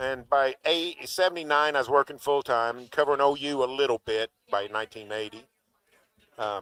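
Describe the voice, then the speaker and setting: A man with an American accent, medium pitch and ordinary pitch variation, bright, sharp tone, moderate pace, dry, close sound with no echo. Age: 60s. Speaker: sports radio host and sportswriter. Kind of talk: casual chat. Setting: studio broadcast at a restaurant.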